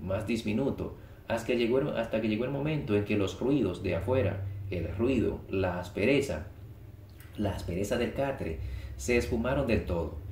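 In a plain, everyday voice, a man speaks at a fairly low pitch and moderate pace, with ordinary pitch variation and very even loudness. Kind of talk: audiobook reading of a short story. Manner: calm, measured, even narration.

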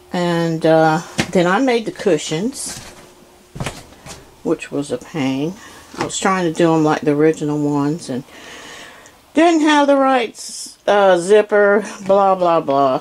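A fairly slow pace with long, frequent pauses over light background noise. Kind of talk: casual home tour narration. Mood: pleased, chatty. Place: home room. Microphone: phone near.

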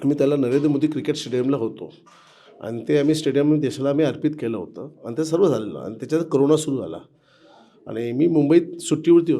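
A man has an unremarkable speaking voice, with fairly high pitch and ordinary pitch variation. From Mumbai, India (Girgaon). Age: 50s. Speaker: temple construction safety manager, former activist volunteer. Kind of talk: interview, personal reminiscence. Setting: old temple in Ayodhya.

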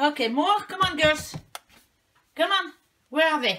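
A woman's fairly bright tone at a slow pace.

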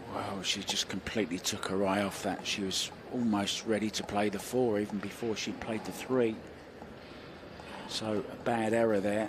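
With a British accent, a man of fairly low pitch speaks at a moderate pace in a monotone, flat intonation. Noticeable background noise runs behind him. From Britain. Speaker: pool commentator. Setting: commentary booth. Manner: jokey, conversational.

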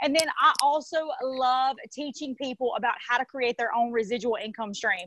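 A woman with a Southern US accent speaks in a high pitch at a moderate pace, with ordinary pitch variation, an animated tone and hardly any pauses. The sound is dry with no echo, though background noise is noticeable. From US South, south Mississippi. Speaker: network marketing affiliate. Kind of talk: sales pitch. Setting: livestream from phone on tripod. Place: home room. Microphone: earbuds.

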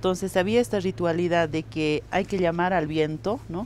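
Over light background noise, a woman with vocal fry and a fairly low pitch speaks at a moderate pace with ordinary pitch variation, the sound dry with no echo. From Bolivia, Andean highlands (Cacachaca community); Bolivia. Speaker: interviewee. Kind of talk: interview, cultural explanation. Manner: measured, with frequent repetitions and fillers. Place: street.

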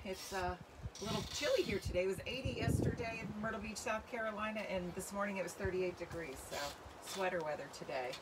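Loud background noise fills the clip. Through it, a woman speaks with ordinary pitch variation. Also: fairly quick pace. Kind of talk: casual livestream talk. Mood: warm, friendly. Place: garden. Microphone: phone near.

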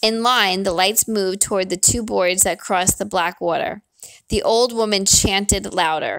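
In an unforced reading voice with ordinary pitch variation, the speaker reads against a quiet background.

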